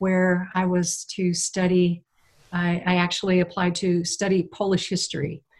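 On a very clean recording with a silent background, a woman with an American accent speaks at a fairly slow pace in a somewhat breathy voice of medium pitch. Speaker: missionary. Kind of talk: testimony.

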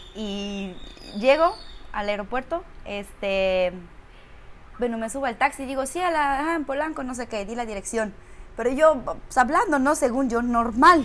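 A woman speaks high and fairly slowly, with lively intonation and big swings in loudness. Long pauses come often. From Romania. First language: Romanian (speaking Spanish). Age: 30s. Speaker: actress. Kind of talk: casual chat.

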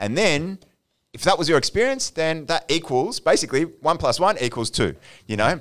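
A fairly high-pitched man with an Australian accent, vocal fry, very wide pitch swings and a fairly quick pace. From Australia, Melbourne. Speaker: addiction clinical services manager. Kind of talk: casual chat.

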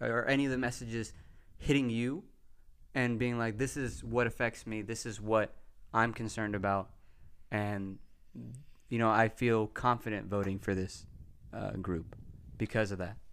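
An American man speaks at a moderate pace in a medium-pitched voice. His intonation stays fairly even, broken by long, frequent pauses. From Texas. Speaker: podcast host. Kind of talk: casual chat.

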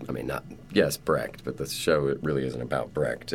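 Vocal fry runs through this man's very deep, low voice. He talks at a fairly quick pace. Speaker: stage actor. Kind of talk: interview.

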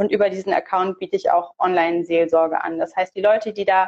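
Recorded dry and close with no echo, a woman with a plain, everyday voice speaks at a fairly quick pace with ordinary pitch variation. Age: 30s. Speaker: theologian and online pastoral counselor. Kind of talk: casual interview. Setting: live stream.

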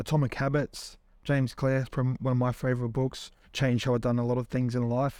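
In a New Zealand accent, a man speaks at a very fast pace with monotone, flat intonation. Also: very clean recording, silent background. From New Zealand, Tokoroa. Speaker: entrepreneur and former pro rugby league player. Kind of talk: casual interview. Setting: studio.

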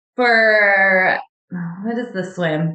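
In an American accent, the speaker goes at a very slow pace with ordinary pitch variation. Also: woman. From Washington State, US. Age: 40s. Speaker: cancer survivor and triathlete. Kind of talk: interview testimony.

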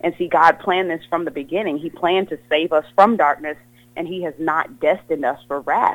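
An ordinary speaking voice from a woman, fairly low and fairly quick, with ordinary pitch variation. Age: 30s. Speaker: gospel singer. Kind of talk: casual interview.

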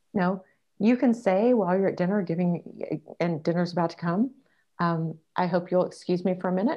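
At a fairly quick pace, the speaker uses a normal speaking voice with ordinary pitch variation. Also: woman. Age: 50s. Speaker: dating coach and author. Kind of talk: interview.

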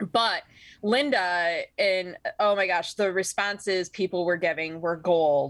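A woman's medium-pitched voice with a Michigan accent, a fairly slow pace and ordinary pitch variation, on a very clean recording with a silent background. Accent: Michigan general American. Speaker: podcast co-host. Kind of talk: casual comedic banter about weird news.

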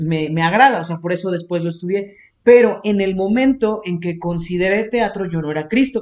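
The pace is moderate. A man speaks with a high pitch. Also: ordinary pitch variation. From Xalapa, Veracruz, Mexico. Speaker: podcast co-host. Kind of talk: casual chat.

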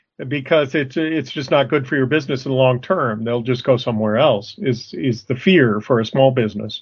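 Using an ordinary speaking voice, a man with an American accent talks with hardly any pauses, at medium pitch with ordinary pitch variation. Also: fairly quick pace. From Arizona. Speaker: podcast co-host, working capital consultant. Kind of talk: casual discussion.

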